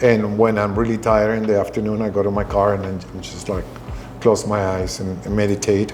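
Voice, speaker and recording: A man's fairly low, monotone, flat voice at a fairly quick pace, with music in the background and audible room echo. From Venezuela. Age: 60s. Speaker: restaurateur. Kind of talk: interview. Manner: halting.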